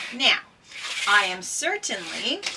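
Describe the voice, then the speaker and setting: A woman's voice over noticeable background noise. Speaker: former paramedic puzzle vlogger. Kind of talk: casual vlog chat. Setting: greenhouse. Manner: loud; hesitant, many fillers.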